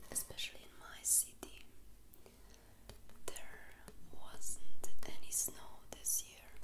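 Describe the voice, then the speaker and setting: A soft-spoken woman whispers at a very slow pace. Loud background noise fills the clip. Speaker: vlogger. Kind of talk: casual vlog chat. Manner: soft close whisper, ASMR ramble. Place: home room. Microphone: phone near.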